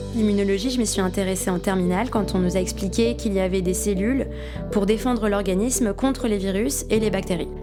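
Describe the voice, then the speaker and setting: Music plays behind a woman whose speech moves along at a fairly quick pace. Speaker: voice actor. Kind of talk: documentary voice-over of interview.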